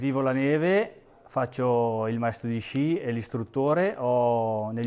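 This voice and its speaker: This man's voice sits at a medium pitch with ordinary pitch variation and a dark, mellow tone. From northern Italy, Lombardy (Alpine valley). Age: 40s. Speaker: ski instructor and election candidate; ski instructor, election candidate. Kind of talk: interview; campaign appeal. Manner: hesitant, many fillers and repetitions. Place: home room. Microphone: phone near.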